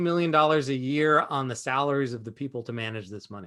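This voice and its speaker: A man talks in an animated tone at a fairly quick pace. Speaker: entrepreneur and investor teaching a webinar. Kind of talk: webinar presentation. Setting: video call. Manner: fast.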